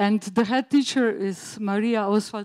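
A woman speaks in a Slovene accent at a fairly high pitch. The background is quiet. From Slovenia. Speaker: teacher, school project coordinator. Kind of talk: conference presentation. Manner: halting, many fillers. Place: hall.

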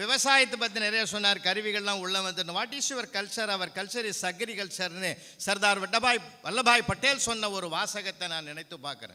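A man's raised, projected voice, high in pitch and animated in tone, with ordinary pitch variation amid noticeable background noise. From Tamil Nadu, Viluppuram district. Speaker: Tamil scholar and debate speaker. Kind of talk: stage debate speech. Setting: stage with audience.

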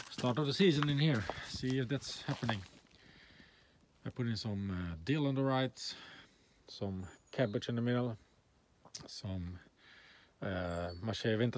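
At a moderate pace, a man talks with ordinary pitch variation and long, frequent pauses, the sound dry with no echo. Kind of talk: casual vlog chat. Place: garden. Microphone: phone near.

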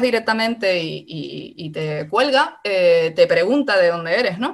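A woman talks fairly slowly, and the background is quiet. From Canary Islands. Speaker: philosophy researcher; speaker. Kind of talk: talk in an online seminar. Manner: halting. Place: home room. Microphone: video call.

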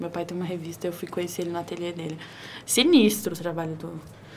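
In a room with audible echo, a woman talks at a very fast pace. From Brasília, Brazil. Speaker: creative studio owner and tattoo artist. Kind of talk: casual chat.

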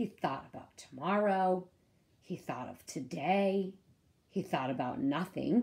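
What you hear is a natural reading voice.

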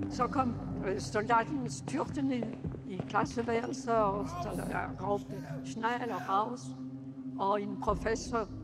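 A woman at a very slow pace, with long, frequent pauses over loud background music. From Paris, France. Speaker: Holocaust survivor. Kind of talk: public lecture to an audience. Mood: grave, reflective storytelling. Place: home room.

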